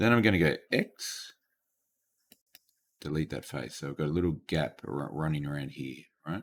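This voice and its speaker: With vocal fry and a very deep, low pitch, a man speaks at a moderate pace, leaving long, frequent pauses. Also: lively intonation. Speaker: teacher. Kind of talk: tutorial. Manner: halting.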